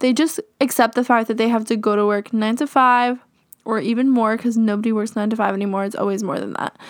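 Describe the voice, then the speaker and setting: At a very fast pace, a woman speaks with a fairly high pitch and fairly even intonation. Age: 20s. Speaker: podcaster and YouTuber. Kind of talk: casual solo chat. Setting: home recording.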